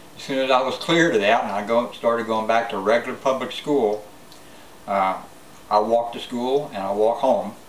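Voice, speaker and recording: With an American accent, a man speaks at a fairly quick pace and medium pitch, his pitch varying in an ordinary way, amid audible room echo and noticeable background noise. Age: 60s. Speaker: prepper vlogger. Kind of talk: casual monologue vlog. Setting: self-filmed on camera. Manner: halting, many fillers.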